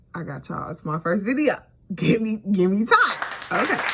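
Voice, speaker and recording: A woman speaks over noticeable background noise. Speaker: beauty and storytime vlogger. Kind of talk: casual storytime monologue. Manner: animated.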